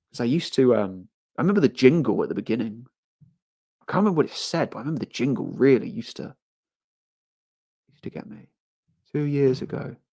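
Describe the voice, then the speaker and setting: Talking very fast in a London accent, a man with a fairly high pitch and a dark, mellow tone makes very wide pitch swings and big swings in loudness, with long, frequent pauses. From England, London (Harrow). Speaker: livestreamer. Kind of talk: casual live stream chat.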